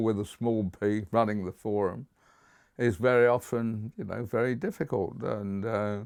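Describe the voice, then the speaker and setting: In a southern English accent, a man speaks fairly slowly at a medium pitch with ordinary pitch variation. The recording is very clean, with a silent background. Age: 80s+. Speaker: community campaigner. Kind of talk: documentary interview. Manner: hesitant with fillers.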